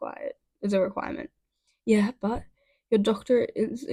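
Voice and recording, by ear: The intonation stays fairly even while someone reads aloud in a natural voice. All around is a quiet background.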